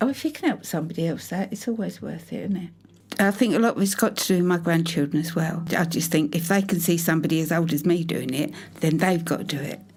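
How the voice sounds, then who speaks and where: A somewhat breathy, fairly low female voice with a British accent, at a very fast pace. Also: ordinary pitch variation. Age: 70s. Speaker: mature fashion student. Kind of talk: documentary interview. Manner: halting.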